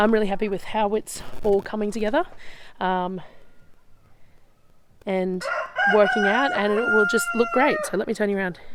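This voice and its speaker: A woman speaks at a medium pitch in an Australian accent, with ordinary pitch variation and a moderate pace. Long, frequent pauses break up her speech, and background noise is noticeable. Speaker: off-grid homesteader. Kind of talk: casual walking tour to camera. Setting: outdoors.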